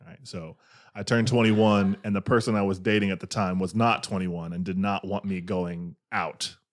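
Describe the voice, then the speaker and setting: A man with an ordinary speaking voice talks at a fairly low pitch, his intonation fairly even while his loudness swings widely. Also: moderate pace, very clean recording, silent background. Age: 20s. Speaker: podcast guest. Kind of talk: casual chat. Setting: studio.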